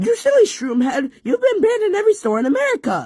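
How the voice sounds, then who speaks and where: This is a put-on character voice with a high pitch. It races along at a very fast pace. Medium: machinima. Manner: loud, crude, insulting.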